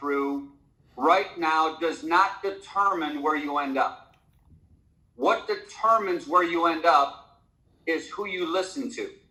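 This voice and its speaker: The man's high voice has a bright, sharp tone, with audible room echo around it. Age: 60s. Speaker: network marketing leader. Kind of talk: motivational talk on a conference call. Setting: conference call. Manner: halting, many fillers.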